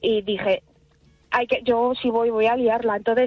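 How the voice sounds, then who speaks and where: A woman is speaking. Her pace is fairly slow. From Salamanca, Spain. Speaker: singer. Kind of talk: radio interview.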